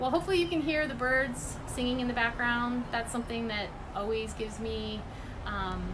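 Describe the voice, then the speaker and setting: A woman speaks at a high pitch with ordinary pitch variation, with noticeable background noise and audible room echo. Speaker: environmental advocacy group director. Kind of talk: livestream update and appeal. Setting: live video stream from home. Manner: fast.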